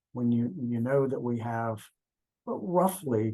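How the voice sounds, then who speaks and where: A man with a medium pitch and a dark, mellow tone speaks at a moderate pace. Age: 60s. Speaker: transportation safety expert. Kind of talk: interview. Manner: halting, many fillers.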